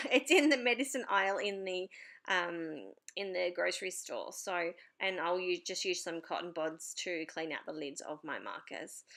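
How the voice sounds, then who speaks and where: The speaker has an Australian accent and a bright, sharp tone, with lively intonation at a moderate pace. The recording is very clean, with a silent background. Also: woman, medium pitch for a woman. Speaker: papercraft YouTuber. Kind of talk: tutorial voiceover. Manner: hesitant, many fillers.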